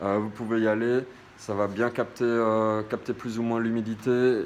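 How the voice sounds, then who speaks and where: A man talks at a medium pitch. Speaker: DIY home tips youtuber. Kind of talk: casual tutorial. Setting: home, walking while talking. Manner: hesitant, many fillers.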